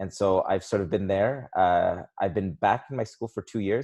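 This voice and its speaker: The speaker has a Canadian accent. The sound is dry and close with no echo, over a quiet background. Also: man. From southern Ontario, Canada. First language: Polish. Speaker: high school English teacher. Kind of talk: podcast interview.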